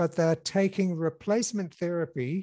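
A man talks at a high pitch with a dark, mellow tone and ordinary pitch variation. The sound is dry with no echo, over a quiet background. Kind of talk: interview answer. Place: office. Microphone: headset.

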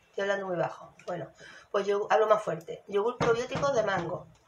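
A woman speaks fairly quickly at a medium pitch, her tone animated. Noticeable background noise is present. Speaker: YouTube vlogger. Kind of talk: casual chat, shopping haul. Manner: soft-spoken, quiet. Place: kitchen. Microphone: phone near.

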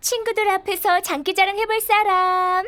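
A cartoonish character voice that sounds female is pitched extremely high and moves at a moderate pace. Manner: warm, encouraging.

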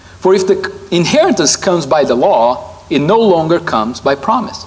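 This man's pitch swings very widely. His pace is moderate. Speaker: preacher. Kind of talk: sermon. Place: hall. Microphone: lapel.

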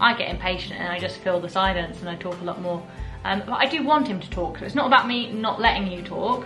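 A woman talks at a very fast pace. Clear music plays behind her. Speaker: vlogger. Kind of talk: casual vlog chat. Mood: cheerful, laughing. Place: home room. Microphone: phone near.

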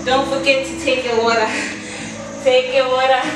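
Amid audible room echo and music in the background, a woman speaks in a high voice with fairly even intonation. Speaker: fitness instructor. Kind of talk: workout coaching instructions. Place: gym. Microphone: camera far.

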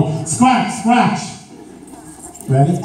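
A man's voice, with audible room echo and light background noise. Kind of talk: instructions to audience. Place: hall.

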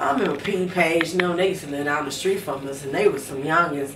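A woman's fairly low voice at a moderate pace with ordinary pitch variation, amid noticeable background noise. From Chicago, US Midwest. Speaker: interviewee telling her life story; interviewee. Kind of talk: life story interview. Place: home room.

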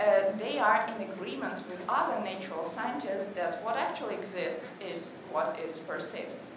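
Against clear background noise, a woman talks with audible room echo around her. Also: medium pitch for a woman, ordinary pitch variation, moderate pace.

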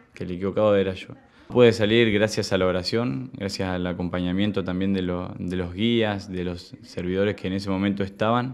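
At a moderate pace, a man speaks with a very deep, low pitch and fairly even intonation. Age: 20s. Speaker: recovering addict. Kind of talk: testimony. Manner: halting, many repetitions and fillers. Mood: calm, reflective. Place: home room.

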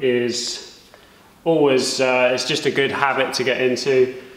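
A man is speaking. Audible echo from the room surrounds his voice. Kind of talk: tutorial. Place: workshop.

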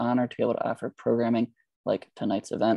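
Against a quiet background, a man speaks very fast in a dark, mellow tone, the sound dry with no echo. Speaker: bookstore event moderator. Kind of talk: event introduction. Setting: video call. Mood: warm, polite. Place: home room. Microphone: earbuds.

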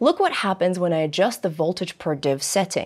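Over a quiet background, a woman talks at a fairly quick pace with very wide pitch swings. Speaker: presenter host. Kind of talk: tutorial. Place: studio.

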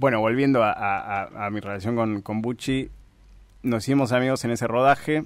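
At a fairly slow pace, the voice moves with ordinary pitch variation. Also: man. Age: 30s. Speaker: filmmaker and screenwriter. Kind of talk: radio interview.

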